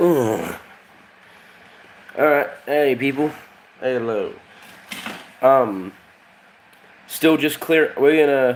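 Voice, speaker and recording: A man at a very slow pace, with long, frequent pauses, over noticeable background noise. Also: fairly high pitch for a man, ordinary pitch variation. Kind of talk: casual live stream chat. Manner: halting, many fillers.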